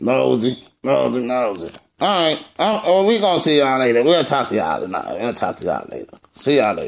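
A cartoonish character voice moves at a fairly quick pace. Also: man, medium pitch for a man. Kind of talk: comedy puppet skit. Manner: brash, mocking.

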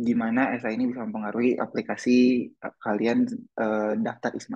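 The pace is moderate. The background is quiet. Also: man. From Indonesia. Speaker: exchange student, essay workshop presenter; presenter. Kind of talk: online workshop presentation. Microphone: video call.

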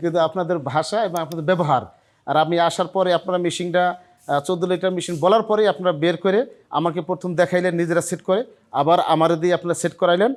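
A man with a Barisal accent speaks at a high pitch with fairly even intonation. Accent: Barisal-area regional Bengali. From Bangladesh, Madaripur near Barisal. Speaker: dairy farmer. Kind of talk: customer testimonial. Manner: halting, many pauses.

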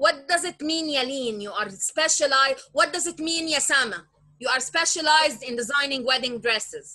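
A raised, projected voice moves along with lively intonation and hardly any pauses. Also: woman, high pitch for a woman, fairly quick pace. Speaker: business tutor. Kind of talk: online lesson. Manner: code-switching Arabic and English.

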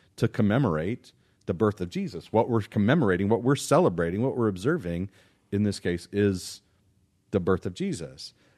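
In a quiet background, a man with an unremarkable speaking voice and an American accent talks at a moderate pace, his fairly low pitch carrying lively intonation. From Irving, Texas area; Texas. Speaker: pastor. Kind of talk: casual chat. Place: studio. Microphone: studio mic.

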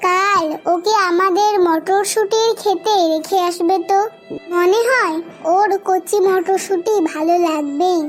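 With clear music in the background, a woman does a cartoonish character voice at an extremely high pitch and a fairly slow pace.

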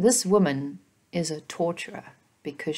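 Speaking at a fairly slow pace, a woman has a somewhat breathy, fairly low voice with ordinary pitch variation. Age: 40s. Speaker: feminist commentary vlogger. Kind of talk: solo opinion monologue. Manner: halting, many repeated words. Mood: earnest, reflective. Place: home room. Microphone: webcam.

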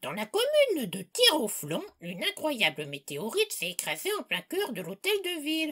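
A cartoonish character voice, shrill and high-pitched, at a moderate pace. There are hardly any pauses. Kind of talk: comedy parody news bulletin.

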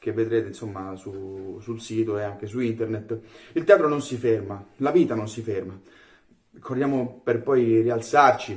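A man with ordinary pitch variation. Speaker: theatre actor. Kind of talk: casual video message. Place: kitchen. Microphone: phone near.

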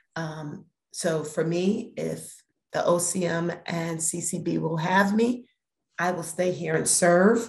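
In an American accent, a woman speaks at a very slow pace with fairly even intonation. Her voice is somewhat breathy and fairly low in pitch. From Brooklyn, New York; New York. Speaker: cannabis regulatory board chair; guest. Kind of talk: interview. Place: home room. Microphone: video call.

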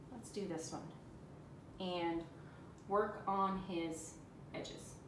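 A woman with a medium pitch is heard amid audible room echo.

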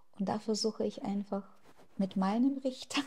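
Somewhat breathy, a woman speaks in a dark, mellow tone with fairly even intonation. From Ukraine. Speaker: activist; interviewee. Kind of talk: interview. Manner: hesitant with fillers. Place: home room. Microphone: lapel.

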